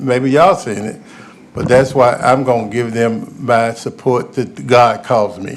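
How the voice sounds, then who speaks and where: Noticeable background noise sits behind a man with a Memphis accent who talks at a fairly slow pace. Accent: Southern US (Memphis). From US South, Memphis, Tennessee. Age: 70s. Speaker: youth sports coach. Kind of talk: public comment at government meeting. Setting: county commission meeting chamber. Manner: halting, repetitive.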